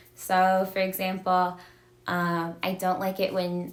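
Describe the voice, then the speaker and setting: Amid noticeable background noise, a woman talks at a medium pitch with monotone, flat intonation. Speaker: domestic violence advocate. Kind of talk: educational livestream talk. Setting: live video stream.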